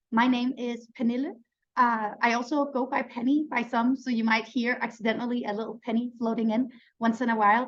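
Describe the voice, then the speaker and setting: A woman speaks in a high, flat monotone with a Danish accent. Her pace is fairly quick. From Denmark. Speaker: neuroscientist and webinar host. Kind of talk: online webinar presentation.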